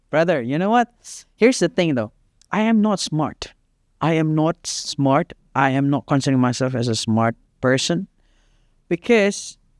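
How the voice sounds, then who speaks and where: Recorded very cleanly with a silent background and a dry, close sound with no echo, a man speaks at a moderate pace and fairly high pitch, with very wide pitch swings and long, frequent pauses. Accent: Indonesian. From Indonesia, East Java (Surabaya). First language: Indonesian. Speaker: fitness coach. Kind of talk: casual chat.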